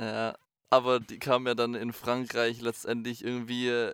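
This man has a medium pitch and a fairly slow pace. The recording is very clean, with a silent background. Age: 20s. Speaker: podcast co-host, band frontman and music school teacher. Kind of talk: casual chat.

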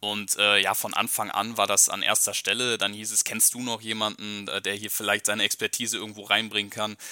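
A man's fairly low, bright and sharp voice at a fairly quick pace, hardly pausing, in a monotone, flat delivery. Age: 20s. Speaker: podcaster, football fan. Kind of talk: casual chat.

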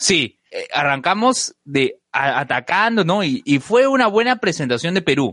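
A man's high voice, fairly slow, with very wide pitch swings and a dry, close sound lacking any echo. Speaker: podcast co-host. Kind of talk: casual chat.

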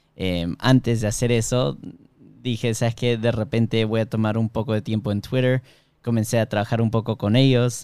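A man with a medium pitch and a dark, mellow tone speaks with fairly even intonation on a very clean recording with a silent background. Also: moderate pace. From Miami, US, Peruvian-Bolivian family. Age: 20s. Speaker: software engineer and product manager. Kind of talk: casual interview.

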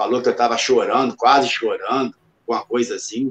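A man at a fairly quick pace, dry and close-sounding with no echo. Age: 50s. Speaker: retired MMA fighter. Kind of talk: interview.

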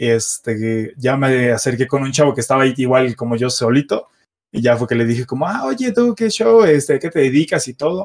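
Lively intonation comes through at a moderate pace. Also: man, medium pitch for a man. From Mexico City. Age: 20s. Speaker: car content creator. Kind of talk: casual chat.

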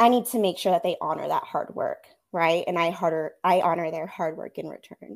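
In an ordinary speaking voice, a woman talks at a moderate pace with ordinary pitch variation, on a very clean recording with a silent background. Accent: American. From California, Central Coast. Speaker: elementary school teacher. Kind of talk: interview.

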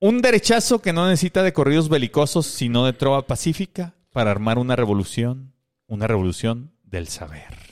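In a Mexican accent, a man talks at a moderate pace with very wide pitch swings, recorded very cleanly with a silent background and a dry, close sound with no echo. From Mexico. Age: 30s. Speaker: podcast co-host. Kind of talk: casual comedic chat.

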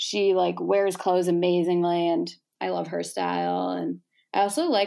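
In a very clean recording with a silent background, a woman speaks at a moderate pace with an American accent. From Chicago suburbs, US Midwest. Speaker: college student and micro-influencer. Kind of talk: casual chat.

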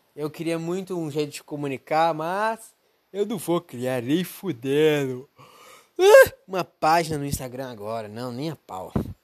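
On a very clean recording with a silent background, a man with a fairly high pitch speaks at a fairly slow pace and with lively intonation. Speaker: podcaster. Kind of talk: casual monologue. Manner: rambling, unscripted.

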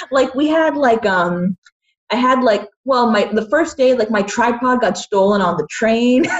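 A woman with a normal speaking voice talks at a fairly slow pace and a fairly high pitch, her intonation lively. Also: very even loudness. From Boston area, US. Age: 20s. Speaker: independent filmmaker. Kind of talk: casual interview.

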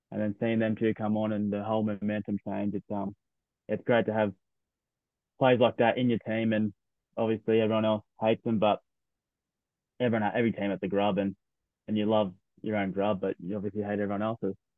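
Speaking in an Australian accent, a man with a fairly low pitch moves at a fairly quick pace but leaves long, frequent pauses, his intonation monotone and flat. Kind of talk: casual sports chat. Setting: remote recording.

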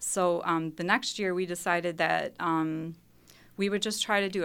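In a very clean recording with a silent background, a woman with an ordinary speaking voice talks at a fairly slow pace, her pitch fairly low with ordinary pitch variation. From Mount Pleasant, Wisconsin. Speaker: scientist and native plant sale organizer. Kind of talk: casual radio interview. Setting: studio.

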